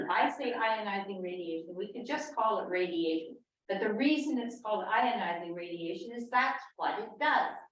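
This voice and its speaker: Audible room echo surrounds a woman speaking at a moderate pace in a fairly high pitch with lively intonation. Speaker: panel speaker on health effects of radiation. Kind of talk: public talk. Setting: meeting house with audience. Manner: quiet.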